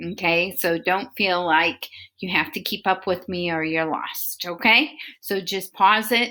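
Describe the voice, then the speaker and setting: This woman's voice sits at a medium pitch. Her tone is bright and sharp. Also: ordinary pitch variation, fairly slow pace. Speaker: elementary school teacher. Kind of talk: remote lesson for children.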